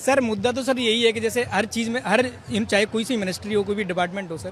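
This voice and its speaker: This man's high voice shows ordinary pitch variation while noticeable background noise carries on behind it. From Madhya Pradesh, Gwalior. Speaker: protester, civil services aspirant. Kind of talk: street interview.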